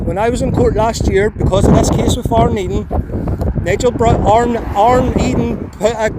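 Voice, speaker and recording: Noticeable noise and audible room echo surround the speech. A man talks at a moderate pace. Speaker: sovereign citizen motorist. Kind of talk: roadside argument with police. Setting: outdoors by a road. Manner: loud.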